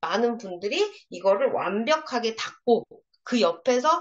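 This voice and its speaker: This voice's pitch rises and falls very widely. It moves at a fairly slow speed. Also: woman. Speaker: product trainer for beauty sellers. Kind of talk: product training lecture. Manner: animated, interactive.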